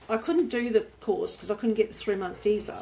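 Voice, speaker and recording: A woman with an Australian accent speaks at a moderate pace. Her fairly high voice has lively intonation. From rural Australia. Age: 60s. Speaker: motorcycle adventurer and author. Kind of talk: interview.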